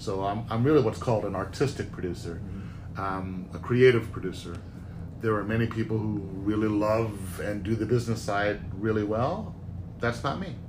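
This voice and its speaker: In a room with audible echo, a man talks at a moderate pace in a fairly low, somewhat breathy voice with fairly even intonation. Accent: American. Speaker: Broadway producer. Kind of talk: interview.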